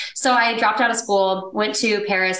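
Speaking at a fairly quick pace with fairly even intonation, a woman with an American accent has an unremarkable speaking voice. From Texas. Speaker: real estate investor. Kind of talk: casual interview chat.

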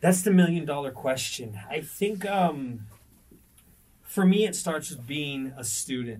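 Somewhat breathy and fairly high-pitched, a man with an American accent talks at a fairly slow pace with lively intonation and big swings in loudness amid audible room echo. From El Paso, Texas. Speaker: coffee roaster business owner. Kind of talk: interview. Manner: halting.

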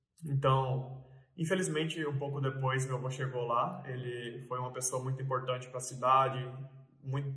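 A man talks at a moderate pace and a medium pitch. Audible room echo and noticeable background noise surround him. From Mato Grosso, Brazil (Sorriso). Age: 20s. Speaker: farm real estate broker. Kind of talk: casual vlog monologue. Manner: hesitant, many filler sounds.

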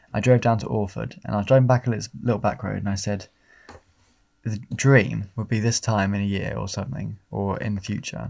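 Here a man with an English accent speaks at a fairly quick pace in a fairly low pitch. His intonation is fairly even, on a very clean recording with a silent background. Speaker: podcast host. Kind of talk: casual chat.

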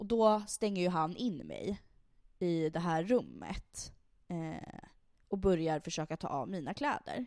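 At a fairly slow pace, a woman with a plain, everyday voice speaks with lively intonation. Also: fairly low pitch for a woman. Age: 20s. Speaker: podcast host. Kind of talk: casual chat.

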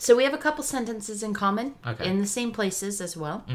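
Noticeable background noise sits behind a woman speaking at a very fast pace, her fairly high voice showing ordinary pitch variation and big swings in loudness. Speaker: podcast co-host.

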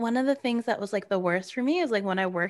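Speaking at a medium pitch with an American accent, a woman makes very wide pitch swings. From New Jersey suburbs. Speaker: podcast co-host. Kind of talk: casual chat.

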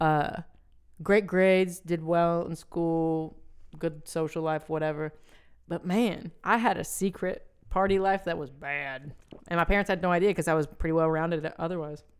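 At a moderate pace, a woman talks in a normal speaking voice with fairly even intonation. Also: fairly low pitch for a woman. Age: 20s. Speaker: podcast co-host. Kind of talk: casual banter.

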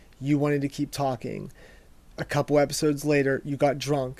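A fairly high-pitched man's voice comes through on a very clean recording with a silent background. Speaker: podcast co-host. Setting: studio. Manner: profane, casual.

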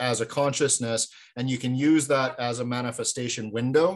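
A man's plain, everyday voice at a medium pitch, with fairly even intonation and a moderate pace. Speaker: podcast host. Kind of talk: casual interview chat.

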